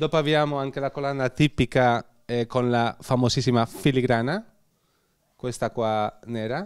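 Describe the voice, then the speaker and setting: A man with a Spanish accent, fairly even intonation, long and frequent pauses, against a quiet background. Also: moderate pace. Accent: Spanish accent in Italian. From Spain, Bilbao (Basque Country); Basque Country, Spain. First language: Spanish (speaking Italian). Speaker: glassblower artisan. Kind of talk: product presentation interview. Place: shop. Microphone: handheld.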